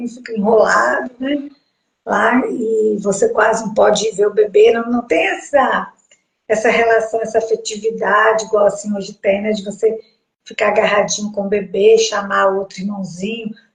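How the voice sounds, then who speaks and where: This is an unremarkable speaking voice with fairly even intonation, delivered at a moderate pace. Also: woman, fairly high pitch for a woman. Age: 60s. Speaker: host's mother, sharing pregnancy experience. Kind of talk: casual interview conversation.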